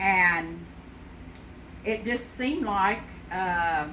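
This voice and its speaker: A woman is speaking. Noticeable background noise and audible room echo are present. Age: 60s. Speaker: home cook sharing family memories. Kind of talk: casual interview while cooking. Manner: hesitant, many fillers.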